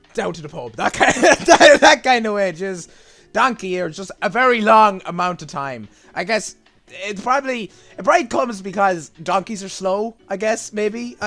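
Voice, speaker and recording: A man with a strong Irish accent, high-pitched, bright and sharp in tone, with big swings in loudness. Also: lively intonation, moderate pace. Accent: Irish, strong, gets stronger as video goes on. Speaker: gaming YouTuber. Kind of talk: casual explainer reacting to a video. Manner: hesitant, many fillers and repetitions.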